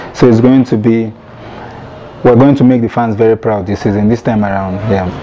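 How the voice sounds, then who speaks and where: At a fairly quick pace, a man speaks in a flat monotone at medium pitch. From Nigeria, Lagos; Nigeria. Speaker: professional footballer. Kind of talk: interview. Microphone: lapel.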